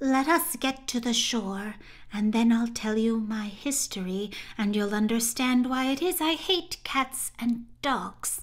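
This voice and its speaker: A woman's put-on character voice, fairly high-pitched and fairly slow. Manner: pale with passion, emotional.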